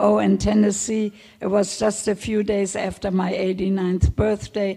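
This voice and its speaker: Her voice sits at a medium pitch as this woman speaks with a German accent. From Germany, Hamburg. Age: 80s+. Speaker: Holocaust survivor. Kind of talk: testimony Q&A. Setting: stage with audience. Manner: halting.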